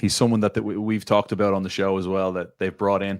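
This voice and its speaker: Very fast and monotone, a man speaks at a fairly low pitch in a strong Irish accent, in a very clean recording with a silent background. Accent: thick Irish. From Ireland, Dublin. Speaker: football pundit. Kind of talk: casual chat. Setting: studio.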